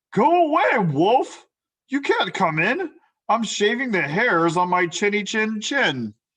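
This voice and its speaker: A female-sounding voice shouts in a put-on character voice at a fairly high pitch. The pace is fairly slow. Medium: read story. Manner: yelling, impolite.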